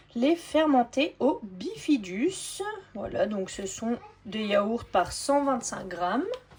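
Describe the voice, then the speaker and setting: Very slowly and at a high pitch, a woman speaks with very wide pitch swings over noticeable background noise. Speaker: family grocery-haul vlogger. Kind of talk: product haul show-and-tell. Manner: casual, hesitant with frequent fillers.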